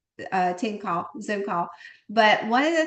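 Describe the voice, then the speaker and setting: In a Southern US accent, a woman speaks at a fairly high pitch over a quiet background. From US South. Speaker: network marketing team leader. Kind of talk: live online team call. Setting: video call. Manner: animated.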